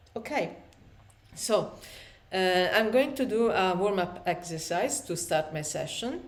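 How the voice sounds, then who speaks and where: In an Italian accent, a woman speaks at a medium pitch with lively intonation, fairly slowly, and with long, frequent pauses. Her voice carries audible room echo. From Italy. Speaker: aspiring writer vlogger. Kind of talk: casual vlog talk. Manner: halting, many fillers.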